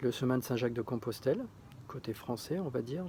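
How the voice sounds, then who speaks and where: This man's voice sits at a medium pitch. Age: 60s. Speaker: retired chef applying to a TV show. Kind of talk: casting application video monologue. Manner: hesitant, many fillers and repetitions.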